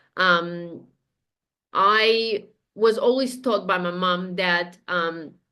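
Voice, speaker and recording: A woman speaks in a Romanian accent at medium pitch. Her intonation stays fairly even. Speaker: spiritual guide, podcast guest. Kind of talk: interview, casual chat. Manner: hesitant, many fillers.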